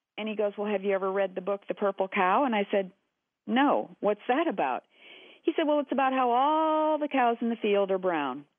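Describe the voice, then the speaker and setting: The speech comes at a fairly quick pace with an American accent. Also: woman. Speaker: shapewear company founder, former actor and psychotherapist. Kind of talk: interview. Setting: phone call.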